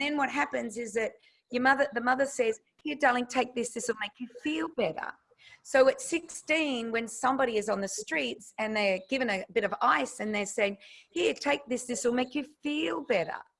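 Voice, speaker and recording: In an Australian accent, a woman talks with an animated tone, lively intonation and a high pitch at a moderate pace. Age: 60s. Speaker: nutritionist. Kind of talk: interview.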